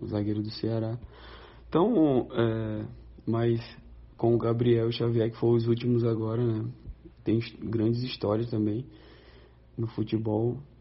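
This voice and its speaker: The speaker talks at a fairly slow pace in a monotone, flat intonation, somewhat breathy, with long, frequent pauses. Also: man, medium pitch for a man. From Brazil. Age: 30s. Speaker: professional footballer. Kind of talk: recorded interview answers.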